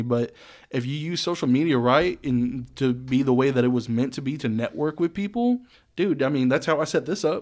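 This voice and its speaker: In an ordinary speaking voice, a man talks at medium pitch with ordinary pitch variation and a moderate pace. The recording is very clean, with a silent background. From Texas (Saginaw area, north Texas). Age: 20s. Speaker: DJ and producer. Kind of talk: casual chat.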